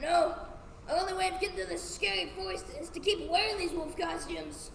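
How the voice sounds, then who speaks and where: A put-on character voice at a fairly quick pace, with clear background noise and a slight echo. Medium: stage play. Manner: sly, folksy.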